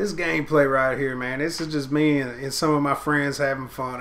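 Over noticeable background noise, a man talks at a fairly quick pace. He has a Southern US accent and a fairly high pitch. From Tennessee. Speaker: gaming video commentator. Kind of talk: informal, colloquial. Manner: casual, laid-back, frequent filler phrases.

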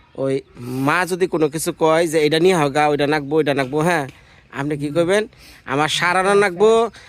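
A man's fairly high voice with fairly even intonation, a normal speaking voice. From Bangladesh, Tangail (Mirzapur). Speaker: village life vlogger. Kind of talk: casual vlog chat.

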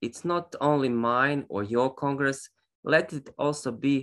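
A man's bright, sharp voice at a fairly slow pace, with ordinary pitch variation and a quiet background. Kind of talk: formal opening speech. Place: home room. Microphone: video call.

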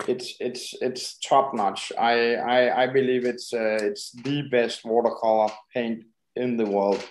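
A very slow voice with a Danish accent, speaking in a monotone with flat intonation. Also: man, medium pitch for a man. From Denmark. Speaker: painter and art supply shop worker. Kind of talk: interview. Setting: video call. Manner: halting.

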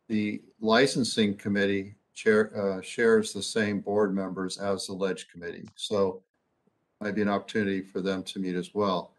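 A man's fairly low voice at a moderate pace, monotone and flat in intonation. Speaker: agency registrar reporting to board. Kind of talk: meeting report. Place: office. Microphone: video call.

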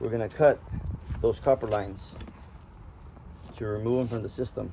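The tone is dark and mellow, with vocal fry. The pace is moderate. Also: man, fairly low pitch for a man, fairly even intonation.

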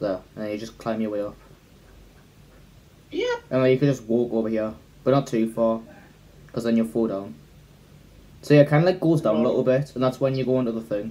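A man talks at a very fast pace. His pitch varies in an ordinary way. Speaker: gamer streaming with friends. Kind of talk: casual gaming commentary. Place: home room.

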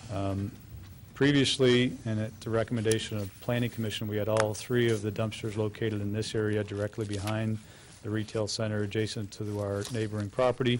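Against light background noise, a man talks at a fairly quick pace with a fairly low pitch and monotone, flat intonation. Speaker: real estate developer. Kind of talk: formal presentation. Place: meeting room.

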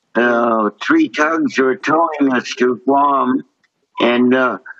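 Pitched fairly high, a man talks at a very slow pace. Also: quiet background. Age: 80s+. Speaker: war veteran. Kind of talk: interview answer. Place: home room. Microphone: video call.

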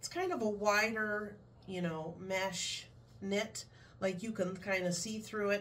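Ordinary pitch variation marks this woman's speech. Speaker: reseller vlogger. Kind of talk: casual haul vlog chat. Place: home room. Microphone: camera far.

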